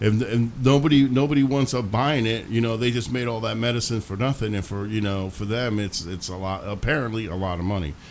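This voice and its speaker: At a fairly quick pace with hardly any pauses, a man talks at a medium pitch with ordinary pitch variation. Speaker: internet talk show host. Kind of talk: casual chat. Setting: studio. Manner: gets louder when excited.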